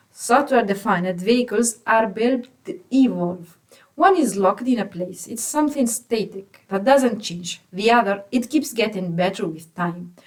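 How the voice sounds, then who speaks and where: Hardly pausing, a woman with a normal speaking voice and a fairly high pitch talks at a moderate pace with lively intonation. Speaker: automotive software engineer explaining tech. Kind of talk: tech explainer.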